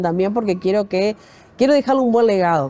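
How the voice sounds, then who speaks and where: This woman's voice has a dark, mellow tone. Her pitch varies in an ordinary way. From Uruguay, Montevideo; Uruguay. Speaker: TV news anchor; journalist interviewee. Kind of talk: interview. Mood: warm, reflective. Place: bar. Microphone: lapel.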